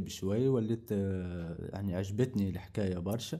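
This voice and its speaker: The man's tone is dark and mellow as he talks at a fairly slow pace. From northwest Tunisia, Ain Draham. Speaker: carpentry worker. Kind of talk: interview testimony. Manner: halting.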